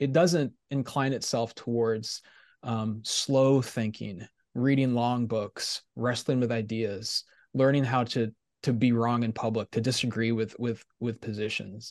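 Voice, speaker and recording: A man speaks in a plain, everyday voice, medium in pitch with fairly even intonation. His pace is fairly slow, and the background is quiet. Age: 40s. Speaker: theology professor. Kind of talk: casual interview.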